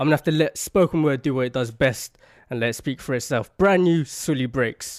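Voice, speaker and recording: A man's medium-pitched voice at a fairly quick pace with ordinary pitch variation, dry and close with no echo, and music in the background. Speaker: radio presenter. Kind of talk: radio DJ introduction.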